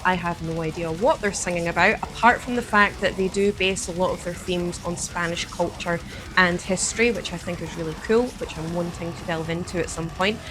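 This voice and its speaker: A woman with a Scottish accent at medium pitch, fairly quick and with hardly any pauses, ordinary pitch variation, big swings in loudness, and noticeable background noise. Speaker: metal album reviewer, channel host. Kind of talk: album review vlog. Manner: enthusiastic.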